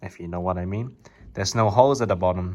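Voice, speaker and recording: The speaker has a Cantonese accent. The recording is very clean, with a silent background. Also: man. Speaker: YouTuber showing cardboard model guns. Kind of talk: tutorial-style show and tell. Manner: casual, slangy.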